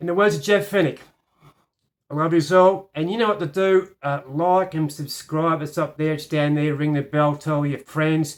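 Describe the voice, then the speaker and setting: The recording is very clean, with a silent background. The speaker talks with an Australian accent. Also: moderate pace. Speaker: piano teacher. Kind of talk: tutorial. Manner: halting.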